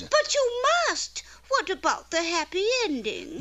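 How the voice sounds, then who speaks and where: In a cartoonish character voice that sounds female, the speaker goes extremely high in pitch with very wide pitch swings at a moderate pace. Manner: sugary, lilting.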